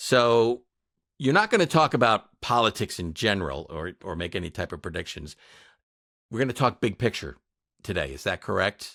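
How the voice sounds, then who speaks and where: A man's fairly low voice with an American accent, bright and sharp in tone, with vocal fry, very wide pitch swings, long and frequent pauses, and a dry, close sound with no echo. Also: moderate pace, very clean recording, silent background. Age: 60s. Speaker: podcast producer and co-host. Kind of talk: casual interview chat.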